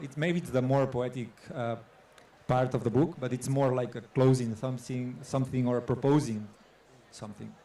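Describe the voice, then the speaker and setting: Heard with audible room echo, a man talks in a medium pitch with a dark, mellow tone. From Catalonia, Spain. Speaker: photographer. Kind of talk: onstage artist talk. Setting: stage with audience. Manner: halting.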